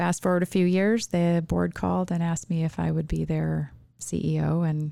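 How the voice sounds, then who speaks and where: In a very clean recording with a silent background, a woman speaks with an American accent. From rural Minnesota. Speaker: nonprofit chief executive. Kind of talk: interview conversation.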